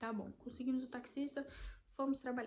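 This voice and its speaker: A woman in a Brazilian accent at a moderate pace, her intonation monotone and flat. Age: 20s. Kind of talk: casual talk to camera.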